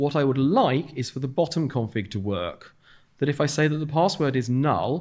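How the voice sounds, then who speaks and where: On a very clean recording with a silent background, a man at medium pitch speaks with lively intonation. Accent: southern English. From London, England. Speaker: software developer. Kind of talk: conference talk. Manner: fast.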